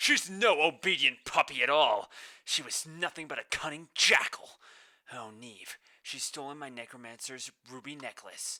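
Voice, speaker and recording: A man in a put-on character voice, fairly high-pitched, at a moderate pace. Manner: angry, furious.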